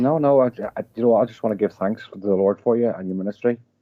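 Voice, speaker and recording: Talking at a very fast pace, a man with a Northern Irish accent shows ordinary pitch variation. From Northern Ireland. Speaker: caller. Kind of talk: phone-in call. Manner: halting.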